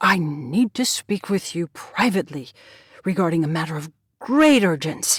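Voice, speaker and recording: A female-sounding put-on character voice comes through loud at a middle pitch. The recording is very clean, with a silent background. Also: moderate pace. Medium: read story. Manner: loud, demanding.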